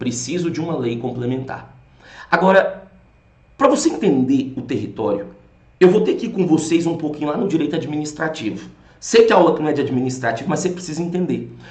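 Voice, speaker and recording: The speech moves at a fairly quick pace with lively intonation. Room echo is audible. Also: man, fairly high pitch for a man. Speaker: law course teacher. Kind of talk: lecture. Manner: animated.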